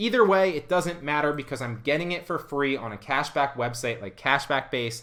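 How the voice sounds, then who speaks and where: A fairly high-pitched man speaks in an animated, bright and sharp tone with hardly any pauses over a quiet background. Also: lively intonation. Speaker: online reseller and YouTube educator; online reseller, YouTube educator. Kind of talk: tutorial. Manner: fast. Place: home room.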